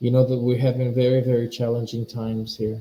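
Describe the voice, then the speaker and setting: A man with a non-native accent speaks at a medium pitch in a somewhat breathy voice. His tone is dark and mellow, his intonation monotone and flat. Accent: noticeable foreign. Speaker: spiritual teacher. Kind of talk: live webinar talk. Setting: live stream webinar. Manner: halting, repetitive.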